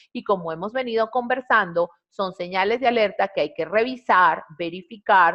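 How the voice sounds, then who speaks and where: A woman speaks in a normal speaking voice with lively intonation. Her pace is fairly slow. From Venezuela. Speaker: compliance trainer. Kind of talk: webinar presentation. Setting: online webinar.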